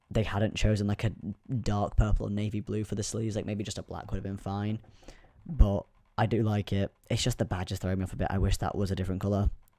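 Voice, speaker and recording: Soft-spoken and very fast, a man delivers his words in a dark, mellow tone at a fairly low pitch, with monotone, flat intonation. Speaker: youtuber. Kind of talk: casual vlog commentary.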